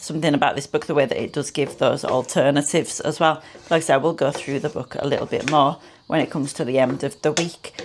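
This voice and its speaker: In a British accent, a woman speaks at a very fast pace in a very clean recording with a silent background. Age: 30s. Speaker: food vlogger. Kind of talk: cooking tutorial. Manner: casual, chatty.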